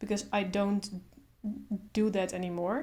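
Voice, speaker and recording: Her voice has a medium pitch and a dark, mellow tone, and this woman speaks with monotone, flat intonation. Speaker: artist, comic strip maker. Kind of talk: casual talk to camera. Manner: stutters.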